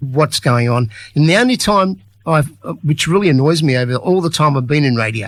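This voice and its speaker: There's some breathiness in this man's voice. He talks at a moderate pace. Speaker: community radio presenter. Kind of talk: radio interview hosting.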